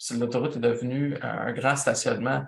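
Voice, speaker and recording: This is a man talking. His pace is fairly slow. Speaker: event producer and instructor. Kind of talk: lecture.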